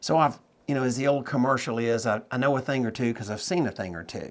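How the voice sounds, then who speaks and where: Bright, sharp tone from a man at medium pitch, on a very clean recording with a silent background. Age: 60s. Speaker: note investor and trainer. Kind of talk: interview.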